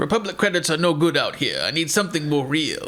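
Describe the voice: In a gravelly, put-on character voice with a French accent, the speaker talks at a very fast pace. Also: man, high pitch for a man.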